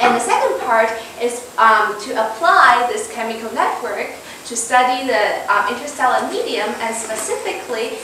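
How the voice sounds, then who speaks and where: Strong room echo and noticeable background noise accompany a woman speaking with ordinary pitch variation. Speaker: candidate. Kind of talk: lecture. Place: classroom.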